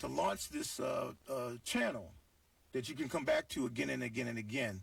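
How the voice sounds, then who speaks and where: A man speaks at a moderate pace in an animated tone. Noticeable background noise runs behind him. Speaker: guest radio host. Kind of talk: talk radio call-in show.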